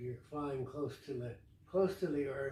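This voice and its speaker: A man speaks at a fairly slow pace with a fairly high pitch. His tone is dark and mellow, and somewhat breathy. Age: 80s+. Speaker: pilot, former crop duster. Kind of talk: interview answer.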